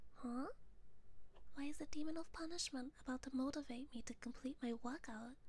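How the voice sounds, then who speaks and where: At a fairly quick pace and with fairly even intonation, the voice comes through with a dry sound and no echo. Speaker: ASMR vtuber streamer. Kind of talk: guided motivation whisper, ASMR affirmations; ASMR roleplay as a demon character. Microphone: studio mic.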